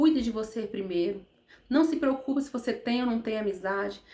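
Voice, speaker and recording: Woman speaking high, her intonation lively. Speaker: therapist vlogger. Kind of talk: motivational talk to camera. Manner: fast; animated.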